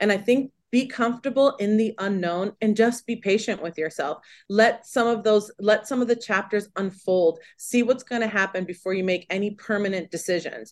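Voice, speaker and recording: Over a quiet background, a woman with an ordinary speaking voice talks at a fairly high pitch and moderate pace, with ordinary pitch variation and hardly any pauses. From California. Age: 40s. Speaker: mortgage lender. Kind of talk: interview.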